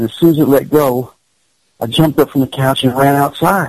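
A man with a Kentucky accent talks at a fairly quick pace with fairly even intonation, in a dry, close sound with no echo. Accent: Kentucky Southern US. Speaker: paranormal investigator. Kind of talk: casual chat.

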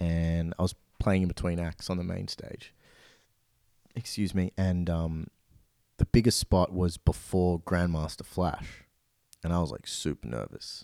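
In a very clean recording with a silent background and a dry, close sound with no echo, a man with an Australian accent speaks fairly slowly with long, frequent pauses, a very deep, low pitch, a dark, mellow tone and fairly even intonation. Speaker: DJ and music producer. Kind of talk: casual interview.

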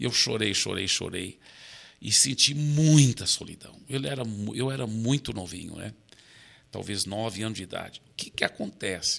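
A plain, everyday voice from a man, medium in pitch, moderate in pace, with ordinary pitch variation. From Brazil, raised by American missionary parents. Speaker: pastor. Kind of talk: interview conversation.

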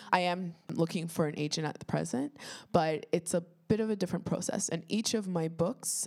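A woman speaks with vocal fry at a fairly low pitch. The recording is very clean, with a silent background. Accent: Toronto. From Toronto, Canada (Etobicoke). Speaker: children's author and teacher. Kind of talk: panel discussion.

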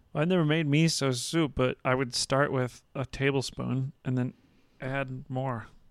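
In an ordinary speaking voice, a man with a medium pitch talks at a fairly slow pace with fairly even intonation on a very clean recording with a silent background. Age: 30s. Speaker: podcast host. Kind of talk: casual chat.

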